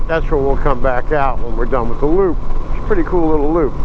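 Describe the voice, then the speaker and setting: Noticeable background noise and audible room echo around a man's fairly quick speech in an American accent. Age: 60s. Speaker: motorcycle vlogger. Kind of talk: casual vlog narration while riding. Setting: outdoors on a motorcycle. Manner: relaxed, with frequent hesitations.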